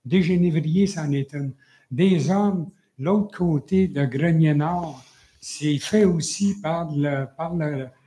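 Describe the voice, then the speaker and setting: Speaking very slowly, a man has a fairly high pitch and a dark, mellow tone, with ordinary pitch variation. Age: 70s. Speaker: citizen at council question period. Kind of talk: public question at council meeting. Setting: municipal council meeting. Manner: halting.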